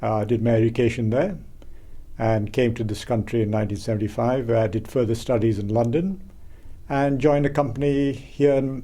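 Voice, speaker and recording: Room echo is audible as a man with a dark, mellow tone talks at a fairly quick pace in a fairly even intonation. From India. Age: 60s. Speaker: community member interviewee. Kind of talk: documentary interview.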